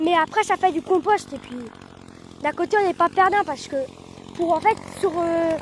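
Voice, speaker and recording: Over noticeable background noise, a woman with an extremely high pitch and ordinary pitch variation speaks with long, frequent pauses. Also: moderate pace. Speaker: farmer and video creator. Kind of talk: casual vlog narration. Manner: halting, many fillers; loud.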